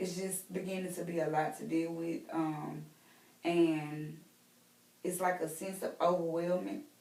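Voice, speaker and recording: A woman talks at a fairly slow pace with a Southern US accent, a fairly low pitch and fairly even intonation. Noticeable background noise and audible room echo fill the recording. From US South, Mississippi. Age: 20s. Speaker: role-play counseling client. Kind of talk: mock counseling interview. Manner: hesitant, many fillers.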